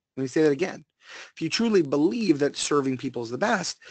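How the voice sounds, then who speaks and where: Speaking with an American accent, a man sounds animated, with lively intonation and a fairly high pitch. The sound is dry and close with no echo. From US Northeast. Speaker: automotive sales trainer. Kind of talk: webinar presentation. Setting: online webinar.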